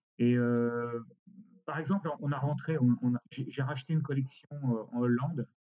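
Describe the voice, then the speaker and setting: The man's voice sits at medium pitch with fairly even intonation. He keeps a moderate pace. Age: 60s. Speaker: costume rental company director. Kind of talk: interview. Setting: remote recording. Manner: halting.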